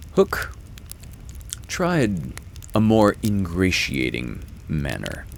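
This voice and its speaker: Over noticeable background noise, a man speaks at a very slow pace with long, frequent pauses. His very deep, low voice makes very wide pitch swings. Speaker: actor and audiobook reader. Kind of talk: storybook narration.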